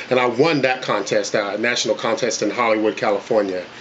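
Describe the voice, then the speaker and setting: Against noticeable background noise, a man with a Southern US accent speaks at a fairly quick pace and medium pitch. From North Carolina (Coats, small town). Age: 40s. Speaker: country singer auditioning. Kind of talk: casting interview. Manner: halting, many fillers.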